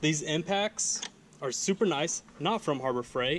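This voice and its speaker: Against light background noise, a man talks at a fairly slow pace with ordinary pitch variation. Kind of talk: casual tool tour commentary. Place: garage. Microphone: phone near.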